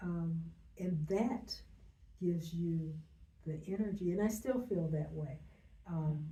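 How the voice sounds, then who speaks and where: In a room with audible echo, a woman with a fairly low voice and ordinary pitch variation speaks at a very slow pace, pausing long and often. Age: 70s. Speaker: business owner. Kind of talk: interview. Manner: halting.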